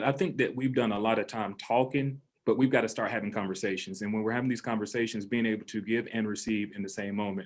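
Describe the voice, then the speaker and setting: A man with a Southern US accent at medium pitch, very fast and fairly even in intonation, on a very clean recording with a silent background. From US South. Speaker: high school principal. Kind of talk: panel discussion.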